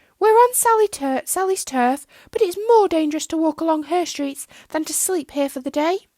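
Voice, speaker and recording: Squeaky and extremely high-pitched, a woman performs a put-on character voice. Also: moderate pace. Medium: read story. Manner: blunt, sharp.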